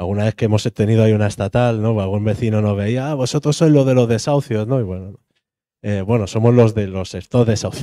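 A man with a Spanish accent speaks in a dark, mellow tone, fairly low in pitch with fairly even intonation, in a dry sound with no echo and a quiet background. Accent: Peninsular Spanish. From Spain. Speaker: housing activist; speaker. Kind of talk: panel discussion. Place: hall. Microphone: handheld.

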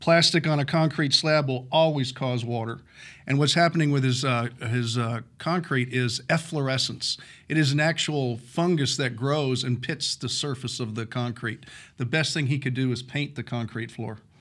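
A man speaks at a moderate pace. His intonation stays fairly even over a quiet background. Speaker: home improvement expert host. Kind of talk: advice answer on radio show. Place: studio. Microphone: studio mic.

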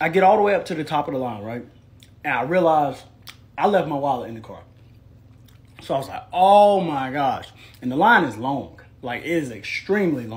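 Speaking at a fairly quick pace, a man sounds somewhat breathy, with lively intonation and big swings in loudness. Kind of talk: casual vlog chat. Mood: playful, joking storytelling. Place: home room. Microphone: phone near.

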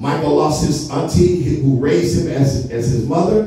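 A man talks at a moderate pace with ordinary pitch variation. Strong room echo surrounds his voice. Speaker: pastor. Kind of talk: sermon. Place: church.

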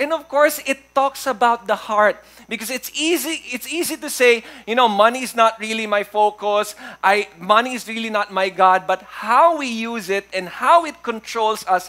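A man speaks in a raised, projected voice. His pace is moderate. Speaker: pastor preaching. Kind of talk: sermon. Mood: warm, humorous. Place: church.

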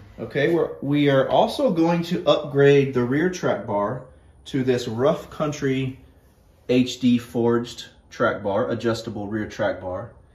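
Audible echo fills the room. The pace is fairly slow, with ordinary pitch variation. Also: man. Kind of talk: casual vlog chat. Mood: excited, upbeat. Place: garage.

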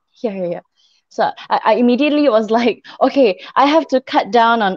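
Recorded dry with no echo against a quiet background, the speech moves at a moderate pace. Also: woman. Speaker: interview guest. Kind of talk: interview answer. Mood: open, reflective, sometimes smiling. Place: home room. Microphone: video call.

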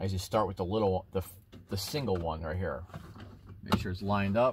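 A man is speaking over loud background noise. The sound itself is dry, with no echo. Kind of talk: tutorial. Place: street. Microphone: phone near.

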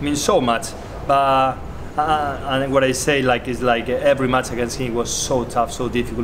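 A man talks in a monotone, with flat intonation. Noticeable background noise runs behind him. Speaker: professional squash player. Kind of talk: tribute interview. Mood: warm, reflective. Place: hall.

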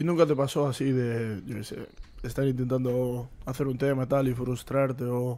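With an ordinary speaking voice, a man talks at a moderate pace in a medium pitch, keeping his intonation fairly even. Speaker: podcast host. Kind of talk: casual chat. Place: home room. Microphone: studio mic.

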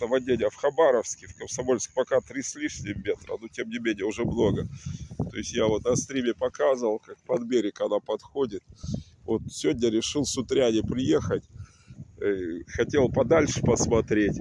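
A man speaks at a moderate pace with long, frequent pauses, in a dry sound with no echo and noticeable background noise. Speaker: video blogger. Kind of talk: casual vlog chat. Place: waterside. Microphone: phone near.

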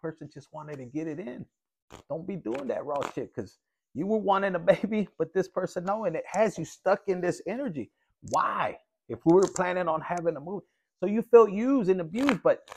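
Over light background noise, a man speaks at a fairly quick pace with lively intonation and big swings in loudness. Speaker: tarot reader. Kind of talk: casual tarot reading commentary. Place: home room. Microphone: phone near.

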